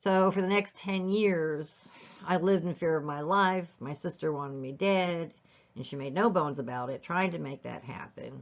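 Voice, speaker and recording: This woman has an unremarkable speaking voice, fairly low in pitch with ordinary pitch variation, moving at a moderate pace with big swings in loudness. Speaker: life story vlogger. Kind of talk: personal testimony.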